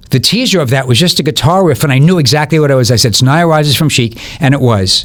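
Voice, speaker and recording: Through noticeable background noise, a man speaks at a very fast pace with a fairly high pitch, ordinary pitch variation and very even loudness. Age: 60s. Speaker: music promoter and former DJ. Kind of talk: podcast interview. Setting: studio.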